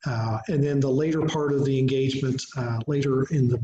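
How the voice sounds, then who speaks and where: With an American accent, a man speaks at a moderate pace in a monotone, flat intonation, his tone dark, mellow and somewhat breathy, amid audible room echo and light background noise. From southeastern Ohio, US. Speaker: museum director, history speaker; presenter. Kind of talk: lecture. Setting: video call webinar. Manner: hesitant, many fillers. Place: home room. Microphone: webcam.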